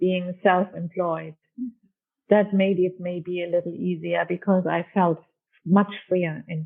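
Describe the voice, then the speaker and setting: A woman's fairly low voice with fairly even intonation. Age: 60s. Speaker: architect. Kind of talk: interview. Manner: halting.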